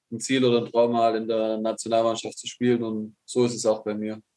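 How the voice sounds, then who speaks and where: A man speaks at a moderate pace and medium pitch, with a dark, mellow tone and monotone, flat intonation. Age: 20s. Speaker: handball goalkeeper. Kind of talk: recorded interview. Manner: halting.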